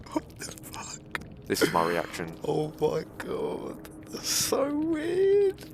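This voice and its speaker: Noticeable background noise fills the clip. Through it, a man talks at a very slow pace. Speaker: gaming YouTuber. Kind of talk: gameplay commentary rant.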